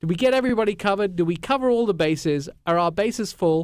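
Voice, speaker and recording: A man with a high voice and an English accent speaks very fast with lively intonation. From England. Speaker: radio show host. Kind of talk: casual radio chat.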